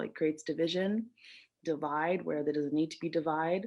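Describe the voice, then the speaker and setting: The delivery keeps a moderate pace and fairly even intonation. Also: woman. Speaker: psychologist and cyclist. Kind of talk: panel discussion. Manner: talkative.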